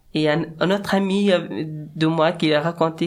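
At a very slow pace, a man with a fairly high pitch speaks in an Afghan accent. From Afghanistan. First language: Dari (speaking French). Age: 30s. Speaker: musician. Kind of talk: interview. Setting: studio. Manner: halting.

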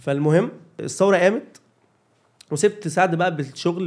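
A man with a high pitch talks at a moderate pace with ordinary pitch variation. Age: 30s. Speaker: comedian and video creator. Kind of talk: casual chat.

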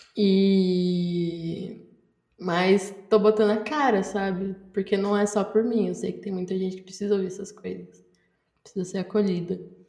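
A woman's dark, mellow voice moves fairly slowly with monotone, flat intonation. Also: medium pitch for a woman, big swings in loudness. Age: 20s. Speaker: journalism student and podcaster. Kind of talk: casual chat.

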